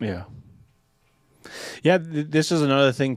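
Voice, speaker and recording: A man speaks in a dry, close recording with no echo. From USA, Mexican-American family. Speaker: military veteran and political activist. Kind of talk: casual podcast discussion.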